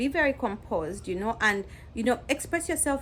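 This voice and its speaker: A woman speaks with vocal fry. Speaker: nurse. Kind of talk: advice vlog. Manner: casual, conversational.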